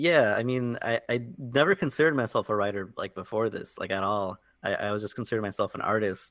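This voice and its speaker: Hardly pausing at all, a man with an American accent speaks at a very fast pace with lively intonation and a medium pitch, on a very clean recording with a silent background. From South Florida. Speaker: web comic artist. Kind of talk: casual interview.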